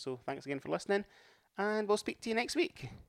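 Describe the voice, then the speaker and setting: The speaker is a man. He talks with an Edinburgh accent. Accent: Scottish, Edinburgh area. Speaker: podcast co-host, amateur runner. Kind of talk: casual chat.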